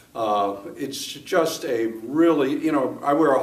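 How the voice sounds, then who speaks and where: A man speaks with ordinary pitch variation. Noticeable background noise and audible room echo fill the recording. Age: 60s. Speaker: gym member giving testimonial. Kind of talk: testimony. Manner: halting, many fillers.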